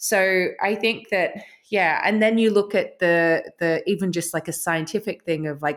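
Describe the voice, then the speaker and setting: The recording is very clean, with a silent background. The voice moves at a moderate pace with fairly even intonation. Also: woman, medium pitch for a woman. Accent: Australian. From Australia. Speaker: author and spiritual teacher. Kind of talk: casual chat.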